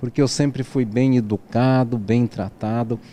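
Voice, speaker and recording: A man speaks at a fairly slow pace. His voice is medium-pitched with a dark, mellow tone. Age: 60s. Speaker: interview guest sharing adoption story. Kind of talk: interview.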